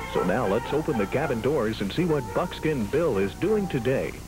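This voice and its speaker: With music in the background, a man with a fairly high pitch speaks at a moderate pace, his voice making very wide pitch swings. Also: very even loudness. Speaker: station announcer. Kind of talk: TV station ID and show intro.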